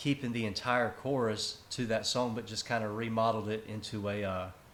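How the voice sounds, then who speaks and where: With a Southern US accent, a man talks at a moderate pace and medium pitch, his intonation fairly even and the room echo audible. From South Carolina. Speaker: country singer-songwriter. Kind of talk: casual interview. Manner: relaxed, casual.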